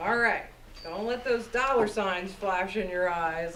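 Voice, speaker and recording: Noticeable background noise and audible room echo, with ordinary pitch variation. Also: woman. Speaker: radio host. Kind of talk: talk to an audience, answering questions. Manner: animated.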